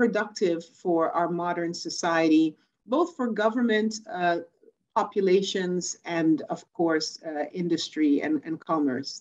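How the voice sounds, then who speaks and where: Against a quiet background, a woman speaks at a fairly slow pace with a fairly low pitch and ordinary pitch variation. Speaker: remote conference speaker. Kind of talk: conference talk. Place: home room. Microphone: webcam.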